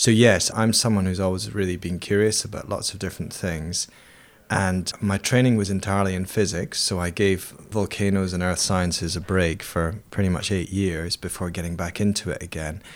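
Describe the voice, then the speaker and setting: A man's very deep, low voice with an Edinburgh accent, fairly even intonation at a moderate pace, on a very clean recording with a silent background. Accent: Scottish (Edinburgh). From Scotland, Edinburgh. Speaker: volcanologist and university lecturer. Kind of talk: interview. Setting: his university office. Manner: hesitant, with fillers.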